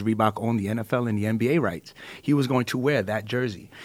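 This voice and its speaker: A man with a New York accent talks very fast at a medium pitch, his pitch rising and falling in an ordinary way. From Brooklyn, New York. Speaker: entertainment manager. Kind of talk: panel discussion. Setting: studio.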